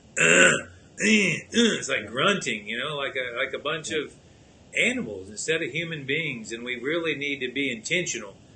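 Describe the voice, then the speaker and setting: Noticeable background noise sits behind a man speaking at a moderate pace. His fairly high pitch swings very widely. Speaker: podcast host. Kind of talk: casual show talk.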